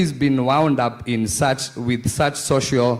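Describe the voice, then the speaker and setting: A Kenyan accent comes through at a fairly slow pace. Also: man. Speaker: conference panelist. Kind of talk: panel discussion.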